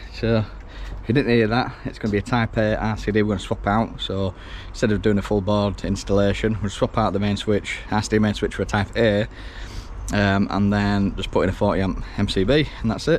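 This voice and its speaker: Quietly and at a fairly quick pace, a man with a Yorkshire accent speaks at a fairly low pitch with fairly even intonation over noticeable background noise. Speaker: electrician. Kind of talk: on-the-job tutorial vlog. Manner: casual, chatty.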